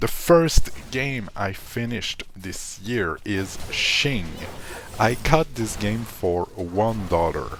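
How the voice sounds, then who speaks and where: Lively intonation at a very slow pace comes through with music in the background. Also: man. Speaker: gaming youtuber. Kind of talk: casual video commentary. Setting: at home, living room. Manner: soft-spoken, ASMR-like quiet.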